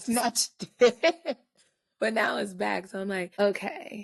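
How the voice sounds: A woman's put-on character voice, raspy and hoarse, medium in pitch, with lively intonation, big swings in loudness, a fairly slow pace, and a dry, close sound with no echo.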